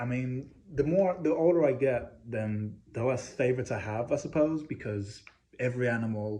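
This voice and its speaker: A man with a medium pitch, a dark, mellow tone and a slight English accent talks at a fairly quick pace with ordinary pitch variation. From England. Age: 20s. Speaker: communications student. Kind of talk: class presentation speech.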